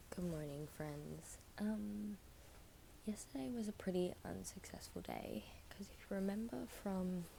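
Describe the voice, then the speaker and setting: The speaker talks at a fairly slow pace with an Australian accent. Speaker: psychology student vlogger. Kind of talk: casual vlog talk. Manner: soft-spoken.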